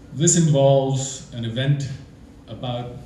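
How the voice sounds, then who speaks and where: A medium-pitched man amid audible room echo and noticeable background noise. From England. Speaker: storyteller. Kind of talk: live storytelling. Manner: animated, conversational.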